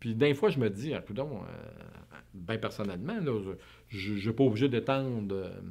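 A man with a Quebec accent, dark and mellow in tone, very slow, over a quiet background. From Quebec, suburbs outside Montreal. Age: 50s. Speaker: interviewee. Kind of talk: interview. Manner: halting, many repetitions and fillers. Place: studio.

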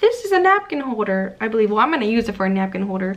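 The woman's pitch ranges very widely. She rises and falls across a very broad span. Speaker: haul vlogger. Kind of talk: casual vlog chat. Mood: cheerful, excited. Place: home room. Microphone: phone near.

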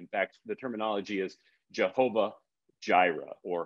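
Using a normal speaking voice, a man talks at a medium pitch and a moderate pace. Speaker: author and men's ministry speaker. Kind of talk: interview with biblical teaching. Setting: video call from outdoors in Haiti. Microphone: connection dropped.

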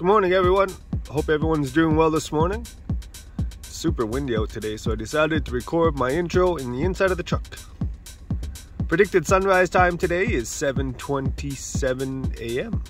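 A man talks at a moderate pace, leaving long, frequent pauses. The sound is dry with no echo, and clear music plays in the background. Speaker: sunrise vlogger. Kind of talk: casual vlog chat. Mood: friendly, upbeat. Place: car.

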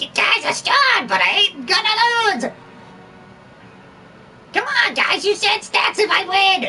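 In a squeaky, put-on character voice with extremely high pitch, the speaker goes at a fairly slow pace over clear background noise. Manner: shouting, boastful.

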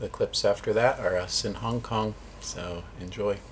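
A man at a very slow pace with light background noise. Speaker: travel vlogger. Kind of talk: casual vlog chat. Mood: calm, reflective. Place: home room. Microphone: phone near.

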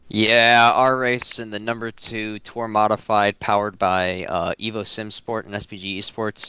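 There is noticeable background noise as a man talks at a fairly low pitch, fairly slowly and with hardly any pauses. His intonation is monotone and flat. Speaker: sim racing driver. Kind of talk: post-race interview.

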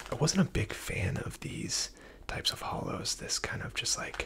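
Someone whispers, soft-spoken, at a moderate pace. Light background noise is present. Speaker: card collector reviewer. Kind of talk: casual commentary. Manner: soft close ASMR whisper. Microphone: phone near.

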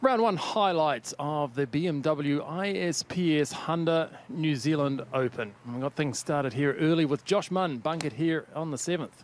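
With an ordinary speaking voice, a man talks at a fairly slow pace with ordinary pitch variation. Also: fairly high pitch for a man. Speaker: golf commentator. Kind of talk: live golf commentary over highlights. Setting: voiceover on highlight reel.

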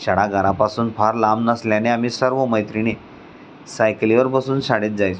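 Intonation remains fairly even in an unforced reading voice.

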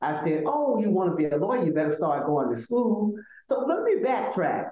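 A woman with an Alabama accent and medium pitch speaks at a moderate pace, her pitch swinging very widely amid audible room echo. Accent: Southern US (Alabama). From US South, Selma, Alabama. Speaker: law professor and university administrator; law professor. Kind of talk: interview. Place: office. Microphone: video call.

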